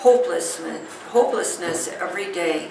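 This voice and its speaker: A woman is heard with noticeable background noise. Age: 80s+. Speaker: scoliosis patient. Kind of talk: patient testimonial.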